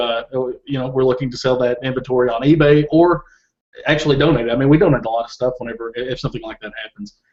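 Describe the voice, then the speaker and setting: In a Southern US accent, a man speaks at a very fast pace with fairly even intonation and big swings in loudness. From Kentucky. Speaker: Amazon seller. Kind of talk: interview. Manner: halting, many repeated words.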